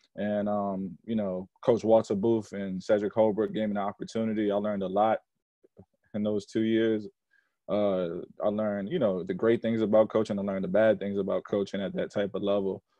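A man speaks in a monotone, flat way at a fairly low pitch. The sound is dry with no echo, and the background is quiet. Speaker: basketball coach, guest. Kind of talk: interview answer. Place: home room. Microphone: video call.

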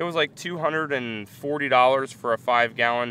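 A man speaks with ordinary pitch variation. Light background noise is present, and the sound is dry, with no echo. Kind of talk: casual vlog chat. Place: open country. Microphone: phone near.

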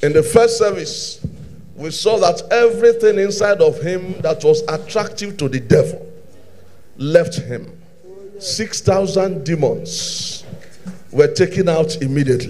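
Over light background noise, a man speaks at a fairly slow pace with lively intonation and long, frequent pauses. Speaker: preacher. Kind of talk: sermon. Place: church. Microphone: handheld.

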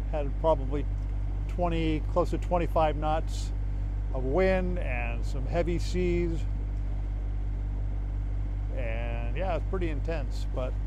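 A man speaks very slowly in a very deep, low pitch, with long, frequent pauses and a monotone, flat intonation. The sound is dry with no echo, over noticeable background noise. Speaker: sailor vlogger. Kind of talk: casual vlog chat. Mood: relaxed, relieved.

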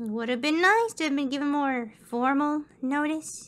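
A female-sounding voice speaks at a moderate pace. It is a high-pitched, put-on character voice. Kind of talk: audio drama performance.

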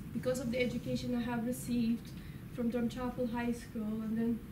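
There is noticeable background noise as a woman speaks with monotone, flat intonation. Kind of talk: informal talk to an audience. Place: classroom. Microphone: camera far.

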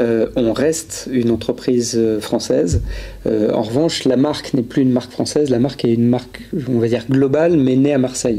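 At a moderate pace, a man talks with a medium pitch. His intonation is fairly even and his loudness very even. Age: 40s. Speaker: public relations manager at a phone maker; guest. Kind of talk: casual chat. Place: studio. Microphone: handheld.

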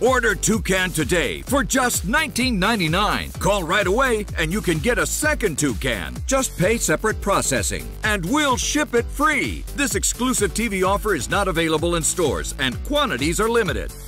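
Over music in the background, a man talks with hardly any pauses. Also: moderate pace. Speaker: infomercial narrator. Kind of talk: TV infomercial read. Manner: upbeat, salesy.

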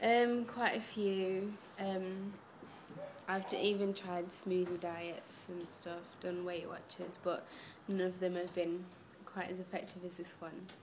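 Very slowly and in a monotone, flat intonation, a woman of medium pitch speaks with an East Midlands accent over noticeable background noise. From Derby, England; England. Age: 20s. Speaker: young mother on a diet. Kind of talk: interview answers. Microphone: webcam.

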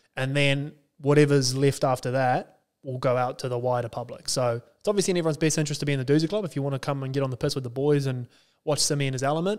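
A man with an Australian accent speaks at a very fast pace and a fairly high pitch. The background is quiet. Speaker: podcast co-host. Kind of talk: casual chat. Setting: studio. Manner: animated. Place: studio. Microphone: studio mic.

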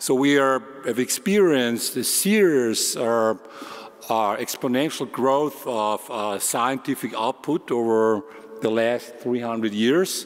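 Very slow male speech with ordinary pitch variation. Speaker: research firm director; conference speaker. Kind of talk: conference talk. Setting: large room with audience. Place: hall.

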